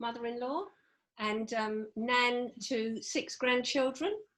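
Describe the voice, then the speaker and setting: A woman's high-pitched voice with a southern English accent, at a very slow pace. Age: 60s. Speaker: HR manager. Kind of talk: podcast interview. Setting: home.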